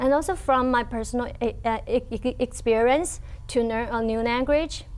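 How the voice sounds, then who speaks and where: Using a Chinese accent, a woman with a high pitch speaks at a moderate pace with ordinary pitch variation. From China. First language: Mandarin Chinese. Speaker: language teacher. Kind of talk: interview. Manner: halting, with pauses.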